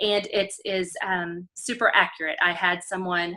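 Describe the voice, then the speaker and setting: In a Texas accent, a woman speaks at a fairly slow pace and medium pitch, her tone bright and sharp and her intonation monotone and flat. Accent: Texas accent, noticeable. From Texas, College Station area. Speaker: special education teacher. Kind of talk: show-and-tell demo on video call. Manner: many filler ums.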